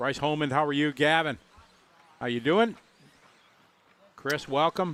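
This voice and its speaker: A man with a Wisconsin accent talks at a fairly slow pace and fairly high pitch, with ordinary pitch variation. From US Midwest, Wisconsin. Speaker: RC racing commentator. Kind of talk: live commentary with casual chat.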